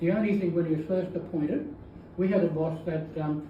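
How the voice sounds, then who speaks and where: A man with a high pitch talks at a fairly quick pace in a flat monotone. Noticeable background noise and audible room echo fill the recording. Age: 80s+. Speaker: retired teacher. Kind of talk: testimony. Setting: book launch with audience. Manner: halting.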